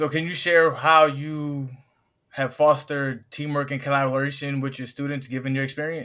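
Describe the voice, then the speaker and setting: The tone is bright and sharp, with monotone, flat intonation at a moderate pace. The recording is very clean, the background silent. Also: man, fairly high pitch for a man. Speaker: podcast host. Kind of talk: podcast host intro and questions.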